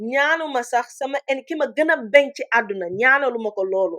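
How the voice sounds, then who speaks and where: Her intonation is lively and her pitch high. The woman speaks with a Senegalese accent. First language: Wolof. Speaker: online commentator. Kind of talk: livestream commentary. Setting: livestream. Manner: code-switching English and Wolof.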